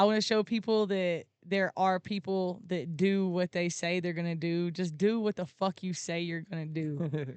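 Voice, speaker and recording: A woman with a southern Alabama accent, fairly low pitch and fairly even intonation, at a moderate pace with hardly any pauses. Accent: Southern Alabama accent, fairly strong. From Alabama, US South. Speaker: content creator and live streamer. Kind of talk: podcast interview.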